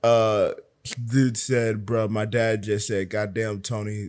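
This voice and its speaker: A man speaks at a medium pitch and a very slow pace in a very clean recording with a silent background. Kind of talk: casual chat. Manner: animated.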